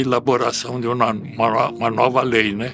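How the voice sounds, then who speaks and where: A man's voice over music in the background. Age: 80s+. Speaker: retired property registrar. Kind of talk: interview answer.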